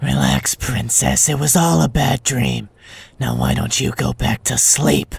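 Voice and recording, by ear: A man does a put-on character voice at a medium pitch, husky and rough-edged with vocal fry. He keeps a fairly slow pace and fairly even intonation.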